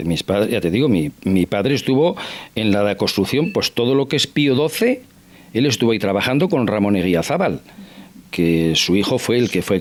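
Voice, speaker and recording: This man's pitch is fairly low, yet it swings very widely. He keeps his loudness very even and moves at a moderate pace. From Basque Country (Irun area). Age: 60s. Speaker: interview guest. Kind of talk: TV interview. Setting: at his home.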